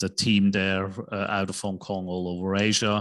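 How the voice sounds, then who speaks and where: Over a quiet background, a man with a Swiss accent speaks in a very deep, low pitch with monotone, flat intonation. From Switzerland. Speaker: investment banker and real estate investor. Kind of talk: casual interview.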